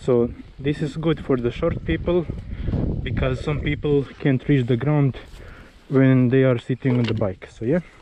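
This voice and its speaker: There is noticeable background noise as a man speaks at a fairly slow pace. His medium pitch shows ordinary variation. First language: not English. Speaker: enduro rider, video tutorial maker. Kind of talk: tutorial. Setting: outdoors. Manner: halting.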